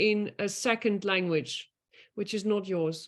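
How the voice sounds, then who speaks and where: A woman with a Dutch accent speaks at a fairly slow pace, her pitch varying in an ordinary way. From Netherlands. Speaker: master student. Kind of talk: online admission talk. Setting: video call.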